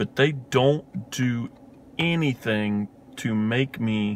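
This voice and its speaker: A man with an Appalachian accent. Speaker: film reviewer, video host. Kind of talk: casual film review monologue. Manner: casual, hesitant with many fillers.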